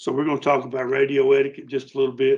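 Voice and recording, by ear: This man talks at a fast pace in a medium pitch, his intonation monotone and flat and his tone slightly mellow.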